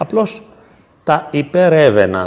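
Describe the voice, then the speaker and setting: A man is speaking. His pitch swings very widely. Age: 50s. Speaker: psychologist. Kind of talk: talk and discussion with parish youth. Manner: halting.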